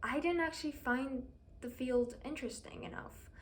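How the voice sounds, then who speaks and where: A woman's high voice is heard with audible room echo. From Iran. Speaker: university student vlogger. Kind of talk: casual personal vlog talk. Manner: hesitant, with fillers.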